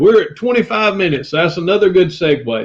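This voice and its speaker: Here a man speaks in a high voice with a Southern US accent. His pitch swings very widely. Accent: country Southern. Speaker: former pastor turned reseller YouTuber. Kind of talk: casual live-stream chat. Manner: animated.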